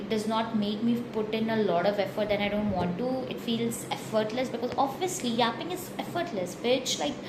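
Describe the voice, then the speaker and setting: Amid audible room echo and noticeable background noise, a woman speaks in a fairly high voice. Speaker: vlogger. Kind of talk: casual monologue vlog. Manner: rambling, casual; animated.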